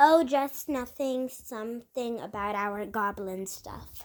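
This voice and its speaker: Putting on a character voice, a woman with a fairly high pitch speaks at a fairly slow pace. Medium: solo performance. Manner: sly, gleeful.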